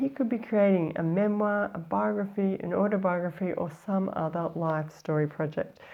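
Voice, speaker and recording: With an Australian accent, a woman with a fairly low pitch speaks at a moderate pace, her intonation lively and hardly any pauses. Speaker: life story coach, former journalist; life story writing coach. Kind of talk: tutorial. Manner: casual, conversational with fillers. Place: studio. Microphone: lapel.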